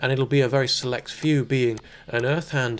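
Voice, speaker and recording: Here a man speaks in a British accent at a fairly high pitch. His pace is moderate, on a very clean recording with a silent background. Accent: soft British. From Britain. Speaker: palm reader. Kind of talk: palmistry reading talk to camera. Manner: soft-spoken.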